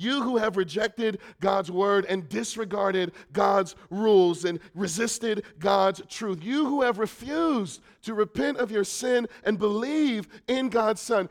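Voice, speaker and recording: A man speaks loudly at a fairly slow pace. His voice is high-pitched with lively intonation. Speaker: preacher. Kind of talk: sermon. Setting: church.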